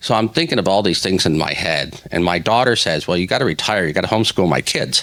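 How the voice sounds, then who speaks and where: Over noticeable background noise, a man with a very deep, low pitch talks at a very fast pace with hardly any pauses, very even loudness and ordinary pitch variation. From Hawaii. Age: 60s. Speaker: newspaper editor. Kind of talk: interview.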